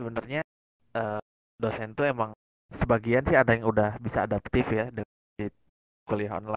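A man with a medium-pitched voice talks at a fairly quick pace in a flat monotone. His speech has long, frequent pauses. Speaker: university student. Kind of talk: casual chat.

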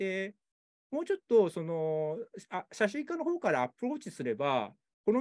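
Very wide pitch swings in a man's high voice, delivered at a moderate pace. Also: dry, close sound with no echo. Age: 40s. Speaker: photographer. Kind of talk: interview. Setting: video call. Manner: halting.

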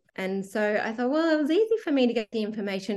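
Lively intonation from a woman with an Australian accent, pitched fairly high. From Western Queensland, Australia. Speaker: teacher. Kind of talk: interview testimony. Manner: hesitant with fillers.

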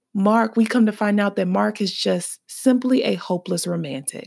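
Here a woman talks in an animated tone at a medium pitch. The recording is very clean, with a silent background. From US South, Birmingham, Alabama. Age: 20s. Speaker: podcast host. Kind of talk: casual solo podcast monologue. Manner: animated, laughing often.

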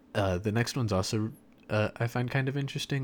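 Ordinary pitch variation runs through a man's speech. Very clean, the recording has a silent background. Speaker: podcast co-host. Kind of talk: casual chat.

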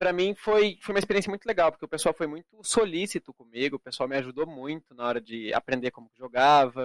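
Very fast and with hardly any pauses, a man speaks at a fairly high pitch with lively intonation and big swings in loudness, in a dry, close sound with no echo. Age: 20s. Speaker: esports card game player. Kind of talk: casual interview.

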